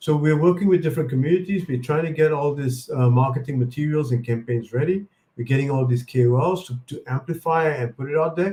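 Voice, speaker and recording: Speaking at a very fast pace with hardly any pauses, a man has a dark, mellow tone and sounds somewhat breathy. His pitch is fairly high, with ordinary variation. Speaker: chief strategy officer of a crypto company. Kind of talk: live Q&A stream.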